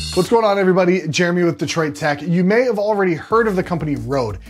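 A man talks at a fairly quick pace over faint background music. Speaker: tech reviewer. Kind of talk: product review talk to camera. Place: studio. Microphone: lapel.

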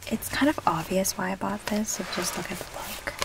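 Someone whispers over noticeable background noise. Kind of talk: ASMR roleplay, friendly chat. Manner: soft-spoken, whispered.

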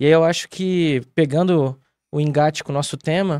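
A man at a moderate pace with fairly even intonation, in a dry sound with no echo and a quiet background. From Rio Grande do Sul, Brazil. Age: 40s. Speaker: theatre director; guest. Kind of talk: interview. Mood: calm, reflective. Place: studio. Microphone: studio mic.

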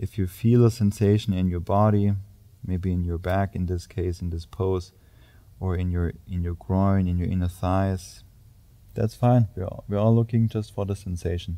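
A man speaks at a moderate pace with very deep, low pitch and fairly even intonation. His tone is dark, mellow and warm. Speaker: yoga instructor. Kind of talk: guided yoga class with spoken cues. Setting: gym studio, filmed video. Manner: calm, steady, instructional; warm, encouraging, grounding. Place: gym.

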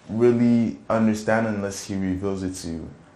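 Ordinary pitch variation comes through along with audible room echo. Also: man. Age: 20s. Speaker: church youth praise team drummer. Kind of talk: testimony; casual interview. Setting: studio. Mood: relaxed, reflective. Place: studio.

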